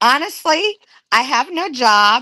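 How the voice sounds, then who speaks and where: A woman's bright, sharp voice at a very slow pace, with very wide pitch swings. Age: 60s. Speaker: retiree. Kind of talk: casual chat.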